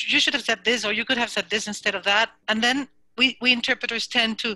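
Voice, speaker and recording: Speaking with a Spanish accent, a woman talks at a fairly quick pace in a bright, sharp tone, with a dry, close sound with no echo, on a very clean recording with a silent background. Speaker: interpreter student. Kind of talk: question in a class. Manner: halting.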